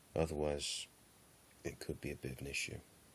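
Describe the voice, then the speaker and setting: At a fairly quick pace, a man talks with a very deep, low pitch and vocal fry. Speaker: tarantula keeper. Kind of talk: casual talk to camera.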